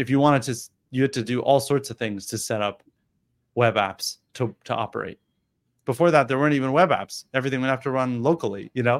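With an unremarkable speaking voice, the speaker goes at a fairly quick pace with ordinary pitch variation, in a dry, close sound with no echo. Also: man, medium pitch for a man. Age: late 30s. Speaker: startup CEO. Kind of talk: webinar interview.

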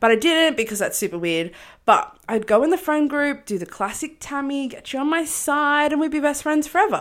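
In an Australian accent, a woman talks at a fairly quick pace with a high pitch and very wide pitch swings, on a very clean recording with a silent background. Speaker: podcast co-host. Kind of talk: casual chat. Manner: loud.

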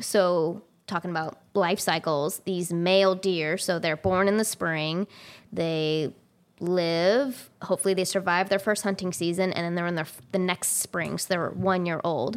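A woman talks at a fairly slow pace in an unremarkable speaking voice, fairly low in pitch with fairly even intonation. The recording is very clean, with a silent background. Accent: American. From California. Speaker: wildlife biologist. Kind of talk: casual interview. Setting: at home.

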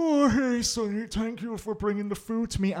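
The speaker uses a put-on character voice, pitched fairly high and delivered at a moderate pace.

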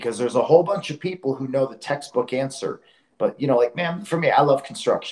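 Very fast and somewhat breathy, a man's fairly high voice moves with ordinary pitch variation. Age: 40s. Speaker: grip strongman. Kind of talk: casual chat.

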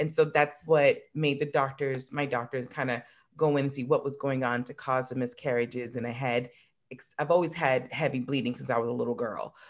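A woman with a very deep, low pitch talks fairly quickly, her intonation fairly even. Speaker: wellness vendor, yoni steaming. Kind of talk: casual interview. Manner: fast talker.

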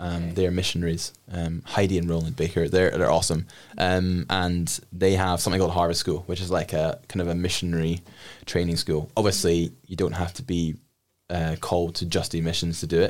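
A man with a very deep, low voice and an Edinburgh accent speaks at a fairly quick pace in a flat monotone. The recording is very clean, with a silent background. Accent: plain, smooth Edinburgh Scottish. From Scotland, Edinburgh. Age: 20s. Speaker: guest sharing faith testimony. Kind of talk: testimony. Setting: radio studio.

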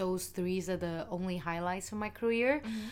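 Speaking at a moderate pace, a woman with a Vietnamese accent shows ordinary pitch variation. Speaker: podcast co-host. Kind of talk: casual chat.

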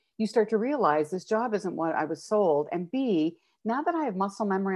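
A woman talks with a plain, everyday voice. Her intonation is lively. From Calgary, Alberta, Canada. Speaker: nurse educator and wellness consultant. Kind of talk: interview conversation.

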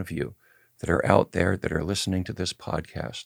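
This man talks at a fairly quick pace with vocal fry. The sound is dry and close, with no echo. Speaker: podcast host and cannabis activist. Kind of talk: interview; scripted narration.

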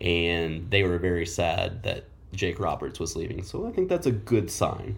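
The voice is somewhat breathy, in an American accent. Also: man. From Oklahoma. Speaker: college football podcast co-host. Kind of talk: casual chat.

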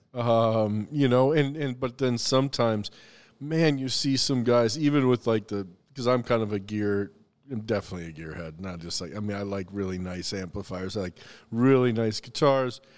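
In a very clean recording with a silent background, a man with an American accent uses an ordinary speaking voice at a medium pitch, speaking at a moderate pace with ordinary pitch variation. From US South, the Carolinas. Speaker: chef and restaurateur. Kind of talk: casual chat.

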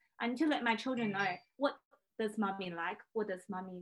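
Here is a woman with a Chinese accent. Her pitch is fairly high. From China. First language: Mandarin Chinese. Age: 30s. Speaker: pianist. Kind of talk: casual chat.

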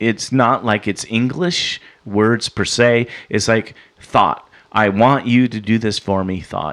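An unremarkable speaking voice from a man, medium in pitch and at a fairly slow pace. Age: 50s. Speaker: spiritual experiencer telling his story. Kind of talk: interview testimony.

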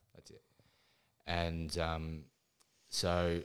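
In a very clean recording with a silent background, a man speaks with an Australian accent in a very deep, low pitch. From Ballarat, Victoria, Australia. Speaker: mental health charity founder. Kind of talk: interview testimony.

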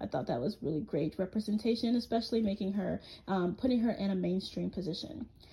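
A woman talks at a very fast pace with lively intonation. Vocal fry runs through her voice. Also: medium pitch for a woman. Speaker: podcast host. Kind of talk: solo monologue about comic characters.

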